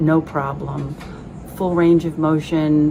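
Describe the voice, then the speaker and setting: A woman speaks with a very deep, low pitch and fairly even intonation. Background noise is noticeable. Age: 70s. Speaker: patient testimonial. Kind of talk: testimony. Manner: halting, many fillers.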